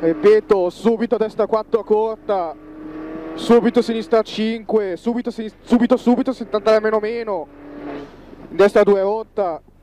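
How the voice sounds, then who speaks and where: A man with a high pitch speaks at a fairly slow pace, leaving long, frequent pauses, his intonation fairly even, in a dry recording with no echo and light background noise. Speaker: rally co-driver. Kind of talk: rally co-driver pace notes read aloud during a stage. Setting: rally car during a stage, cameracar recording. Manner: flat, drilled delivery that turns sharper and repeats warnings when danger nears. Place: car.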